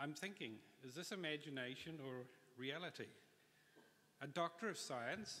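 Here is a man with a New Zealand accent and a bright, sharp tone. He speaks at a moderate pace with ordinary pitch variation. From New Zealand, Auckland. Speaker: industrial designer receiving honorary degree. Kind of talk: graduation address. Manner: formal. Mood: grateful, formal, uplifting. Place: hall. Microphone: podium.

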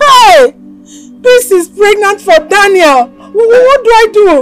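A female-sounding, put-on character voice shouts at an extremely high pitch and a very slow pace over clear music in the background. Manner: shouting.

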